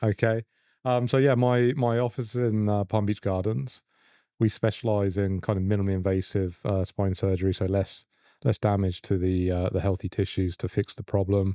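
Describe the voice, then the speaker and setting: In a very clean recording with a silent background, a man with an English accent speaks at a moderate pace and a fairly low pitch, his dark, mellow tone dry and close with no echo and his intonation fairly even. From England, London. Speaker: spine surgeon. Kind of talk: podcast interview.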